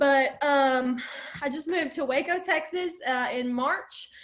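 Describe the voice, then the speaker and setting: A woman speaks with an Alabama accent at a fairly slow pace. Her pitch is high. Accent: Southern US (Alabama). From US South, Alabama. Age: 20s. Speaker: network marketer. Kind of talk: testimony. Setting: video call. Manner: casual, filler-heavy.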